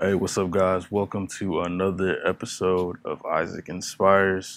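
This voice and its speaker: A loud man speaks at a moderate pace in a monotone, flat intonation. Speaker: music teacher. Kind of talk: tutorial. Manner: trying to talk loudly; casual with frequent fillers.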